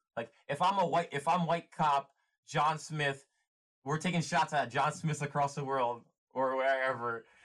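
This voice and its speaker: A man with an American accent and a normal speaking voice, fairly high in pitch, at a moderate pace with fairly even intonation. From US. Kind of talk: casual chat.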